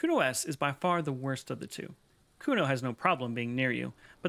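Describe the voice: Text is read out in a plain way. Nothing more than straightforward reading aloud.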